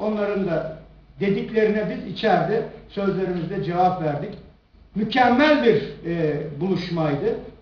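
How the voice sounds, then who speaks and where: Audible room echo accompanies speech at a fairly slow pace with ordinary pitch variation. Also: man. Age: 60s. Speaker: politician. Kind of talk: press conference. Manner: animated.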